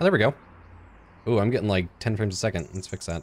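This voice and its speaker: Light background noise is present. Over it, a man speaks at a very fast pace. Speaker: gaming YouTuber. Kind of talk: casual gameplay commentary. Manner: animated, joking, chatty. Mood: playful, mock-scared.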